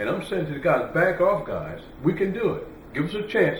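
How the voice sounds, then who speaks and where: There is audible room echo and noticeable background noise. Over it, a man with an American accent talks at a fairly quick pace. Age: 80s+. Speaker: campaign manager and restaurant owner. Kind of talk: interview. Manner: animated.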